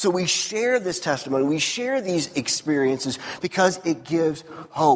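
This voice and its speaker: At a fairly slow pace, a man with an American accent talks in a high pitch with lively intonation over noticeable background noise. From US Midwest (Missouri). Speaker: pastor. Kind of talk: sermon. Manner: casual.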